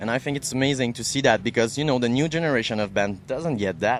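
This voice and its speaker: A man speaks at a medium pitch with a French-Canadian accent. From Quebec. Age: 30s. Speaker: radio host. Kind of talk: interview.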